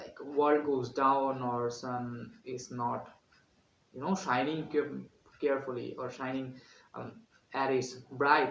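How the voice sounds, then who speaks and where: A man speaks at a very slow pace and a medium pitch, with fairly even intonation, big swings in loudness, long, frequent pauses and audible room echo. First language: Bengali. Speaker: student vlogger. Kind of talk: vlog tutorial. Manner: halting with many fillers.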